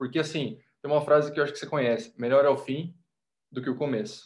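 A man's somewhat breathy, fairly high voice with ordinary pitch variation at a fairly quick pace. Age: 20s. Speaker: podcast guest, motivational content creator. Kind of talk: casual chat.

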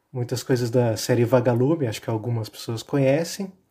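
The voice has a dark, mellow tone and is somewhat breathy. The recording is very clean, with a silent background. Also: man. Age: 20s. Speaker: architecture student, podcast guest. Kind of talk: casual chat.

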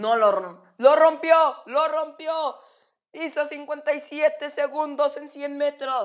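Speaking at a very slow pace, a woman uses a high pitch and big swings in loudness. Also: ordinary pitch variation. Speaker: sports commentator. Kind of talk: live sports commentary on a swimming race. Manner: animated, excitable, building up as the race goes on; repetitive, halting, restarting phrases.

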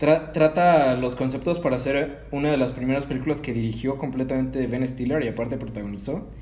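The speaker has a Mexican accent and a fairly quick pace. Audible room echo is present. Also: man. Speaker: podcast host. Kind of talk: casual chat.

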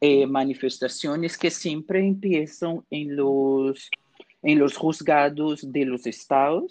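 A man speaks with a Portuguese accent. His pace is very slow. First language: Portuguese (speaking Spanish). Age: 20s. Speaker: historian. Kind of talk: expert interview.

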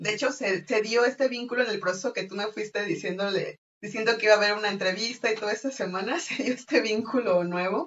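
A woman's fairly high voice at a very fast pace, hardly any pauses, and ordinary pitch variation. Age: 20s. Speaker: podcast guest sharing polyamory experience. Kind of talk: casual conversation, personal testimony.

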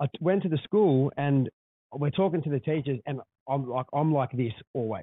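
A man with an Australian accent, fairly high in pitch, at a moderate pace with ordinary pitch variation. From Australia, West or Central Coast. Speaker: podcast host, small business owner. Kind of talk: casual chat. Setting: podcast room in a hotel.

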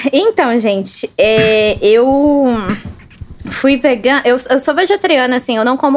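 Over noticeable background noise, a woman with a Minas Gerais accent speaks at a fairly slow pace with ordinary pitch variation. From southern Minas Gerais, Brazil (Baependi). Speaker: student and podcast guest. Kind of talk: casual chat.

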